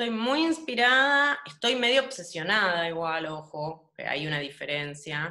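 Fairly slow speech with very wide pitch swings and hardly any pauses over a quiet background. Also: woman, fairly low pitch for a woman. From Argentina. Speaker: painter; interviewee. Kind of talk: casual interview. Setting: home, video call. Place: home room. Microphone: video call.

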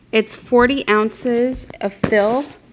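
A woman's voice with ordinary pitch variation against noticeable background noise. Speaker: vlogger. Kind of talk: casual vlog chat. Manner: chatty, animated. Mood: pleased, enthusiastic. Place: home room. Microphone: phone near.

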